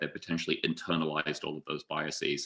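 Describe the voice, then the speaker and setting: A man with a British accent and a bright, sharp tone. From UK. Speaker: data scientist, conference speaker. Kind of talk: conference presentation.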